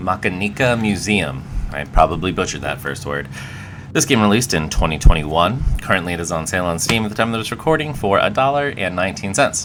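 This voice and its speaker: A man with a very deep, low pitch, very wide pitch swings and a very fast pace amid noticeable background noise. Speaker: video game let's player. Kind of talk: casual gameplay commentary.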